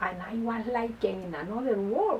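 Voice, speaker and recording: Noticeable background noise behind a woman with a Spanish accent and a fairly high pitch. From Colombia, Bogotá. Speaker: lawyer and first-time author. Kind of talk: interview. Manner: halting, repeats words.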